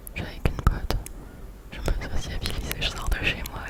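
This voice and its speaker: A woman whispers fairly slowly while noticeable background noise runs underneath. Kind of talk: ASMR storytime, casual chat whispered close to the mic. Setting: close to a Blue Yeti microphone, binaural. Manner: whispered, soft.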